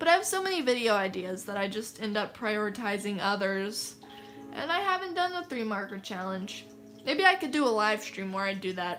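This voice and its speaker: With music playing in the background, a woman with an American accent speaks in a fairly high voice and lively intonation. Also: fairly quick pace. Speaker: artist livestreamer. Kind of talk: casual livestream chat.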